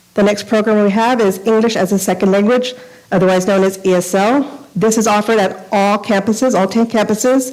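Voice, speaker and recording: A woman speaks at a medium pitch with noticeable background noise. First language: Spanish. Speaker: school district bilingual program coordinator. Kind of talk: formal presentation. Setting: school board meeting. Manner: fast.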